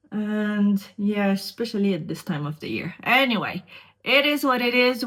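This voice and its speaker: A woman with a Montreal accent speaks with ordinary pitch variation on a very clean recording with a silent background. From Quebec, Montreal. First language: French. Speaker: beauty vlogger. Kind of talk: casual makeup tutorial chat.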